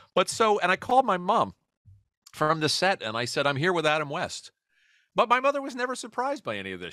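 A man's raised, projected, high voice with a bright, sharp tone and a New York accent, very fast with very wide pitch swings, on a very clean recording with a silent background and a dry, close sound with no echo. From New York City, Queens. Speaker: comedy writer and podcaster. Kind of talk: casual interview chat.

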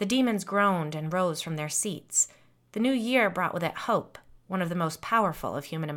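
Lively intonation in a natural voice reading aloud

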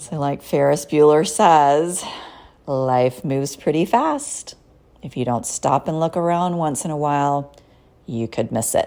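A woman speaks fairly slowly. Her voice is very deep and low, with a dark, mellow tone. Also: ordinary pitch variation. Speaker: psychotherapist and podcast host. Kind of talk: solo podcast monologue with guided mindfulness. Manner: softer and slower during compassion exercises; conversational, casual.

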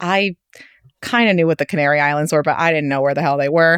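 A woman with a New York accent speaks in an animated tone at a fairly quick pace. The sound is dry and close with no echo, over a quiet background. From New York City. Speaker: food writer. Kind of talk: casual chat.

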